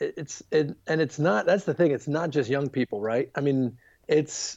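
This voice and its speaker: With an American accent, a man speaks at a moderate pace in a fairly high pitch with ordinary pitch variation and a dark, mellow tone against a quiet background. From US, Baltimore, Maryland. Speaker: youth ministry leader. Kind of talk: podcast interview.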